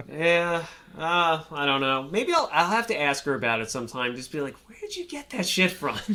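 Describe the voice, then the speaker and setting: With a New York accent, a man talks at a moderate pace with lively intonation and a fairly high pitch. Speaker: food podcast host. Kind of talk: casual chat.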